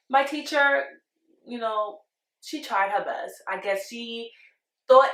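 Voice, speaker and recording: Someone speaks in a Spanish accent at a fairly slow pace. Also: woman. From Panama, moved to Brooklyn at ten. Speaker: vlogger. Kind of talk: casual storytime monologue.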